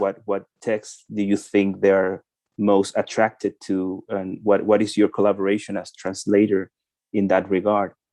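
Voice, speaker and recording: In a Spanish accent, a man with a dark, mellow tone and fairly low pitch talks at a moderate pace, the sound dry and close with no echo. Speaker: translator. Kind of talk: interview questions. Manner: halting, repeats words.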